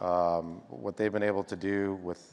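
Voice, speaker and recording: A man speaks in a fairly low voice with monotone, flat intonation. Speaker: media company games executive; panelist. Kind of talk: conference panel discussion. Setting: stage with audience. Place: stage. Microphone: lapel.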